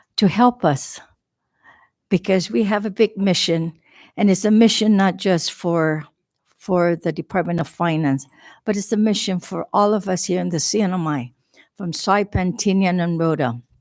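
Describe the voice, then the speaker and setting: In a shaky, put-on character voice, a woman speaks at medium pitch and a moderate pace on a very clean recording with a silent background. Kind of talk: formal, addressing a legislative body. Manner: nervous, shaky.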